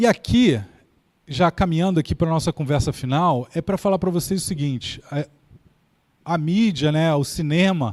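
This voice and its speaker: A man speaks at a moderate pace with a fairly high pitch and ordinary pitch variation, leaving long, frequent pauses. The recording is very clean with a silent background, and the sound is dry and close with no echo. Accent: Carioca. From Brazil, Rio de Janeiro. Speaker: keynote speaker on AI. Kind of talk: lecture.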